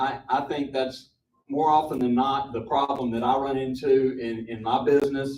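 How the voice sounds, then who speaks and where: A man with an American accent speaks at a moderate pace in a medium pitch, his dark, mellow tone held to a monotone, flat intonation. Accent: Southern accent (joked as Michigan). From Mississippi, US South. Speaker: property developer. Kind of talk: public forum presentation. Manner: halting, many fillers and repetitions.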